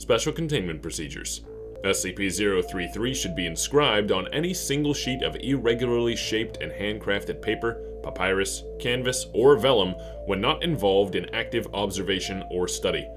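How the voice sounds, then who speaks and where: Background music beneath a man talking at a moderate tempo. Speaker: voice actor. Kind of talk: horror fiction reading.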